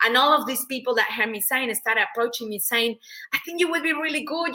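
A woman with a Spanish accent, high-pitched and raised, projected, with a bright, sharp tone, ordinary pitch variation and a very fast pace. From Mexico. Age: 40s. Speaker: public speaker and business coach. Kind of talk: interview. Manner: animated.

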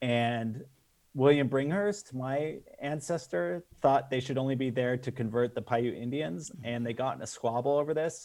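In a General American accent, a man with an ordinary speaking voice talks at a moderate pace and medium pitch. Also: ordinary pitch variation. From Las Vegas, Nevada, US. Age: 40s. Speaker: film director. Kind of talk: casual interview chat.

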